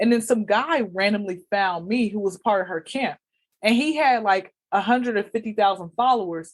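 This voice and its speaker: In an American accent, a woman speaks with an animated tone at medium pitch, ordinary pitch variation, and a moderate pace. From Atlanta, Georgia, US. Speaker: comedian. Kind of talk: casual interview chat. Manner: loud.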